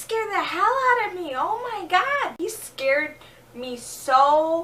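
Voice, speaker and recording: A woman's raised, projected voice at an extremely high pitch, with very wide pitch swings and a very slow pace. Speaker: vlogger. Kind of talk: casual talk to camera. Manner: low energy.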